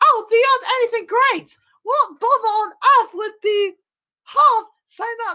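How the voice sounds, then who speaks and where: A woman in a put-on character voice speaks at a fairly slow pace, her squeaky, extremely high pitch moving with ordinary variation and broken by long, frequent pauses. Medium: read story. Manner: persuasive, dismissive.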